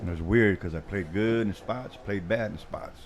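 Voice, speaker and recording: In a relaxed tone, a man speaks with ordinary pitch variation against audible room echo. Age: 60s. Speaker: pool commentator. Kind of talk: live commentary. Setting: pool hall livestream. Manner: casual, relaxed.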